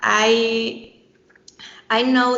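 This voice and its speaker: A woman talks with a Spanish accent. Noticeable background noise and audible room echo fill the recording. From Mexico. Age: 20s. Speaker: architect and BIM teacher. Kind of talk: podcast interview. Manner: halting.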